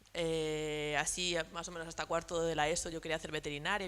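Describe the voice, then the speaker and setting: A woman's very deep, low voice with vocal fry and monotone, flat intonation. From Spain, Badajoz (Extremadura), Madrid-born parents. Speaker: entrepreneur, industrial designer. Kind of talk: round-table talk to students. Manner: casual, many fillers.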